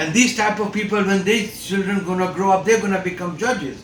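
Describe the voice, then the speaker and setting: A moderate pace in a non-native accent, with audible room echo and noticeable background noise. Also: man. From outside the United States. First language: not English. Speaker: father's rights activist, video host. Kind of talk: opinion monologue. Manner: impassioned, many fillers and repetitions.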